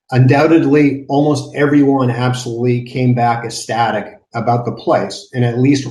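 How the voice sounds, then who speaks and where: Somewhat breathy, a man speaks in a dark, mellow tone at a medium pitch with fairly even intonation. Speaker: nonprofit garden director. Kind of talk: conference panel presentation. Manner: fast.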